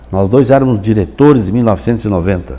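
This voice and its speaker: The pitch swings very widely, with vocal fry throughout. The pace is fairly quick. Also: man. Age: 80s+. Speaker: folklore institute president. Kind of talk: interview. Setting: studio. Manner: halting.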